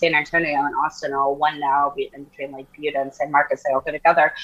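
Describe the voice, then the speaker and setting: Against noticeable background noise, a woman with an American accent talks at a fairly quick pace with lively intonation. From US Southwest. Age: 40s. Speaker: model and podcaster. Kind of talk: casual chat. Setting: remote call. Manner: animated.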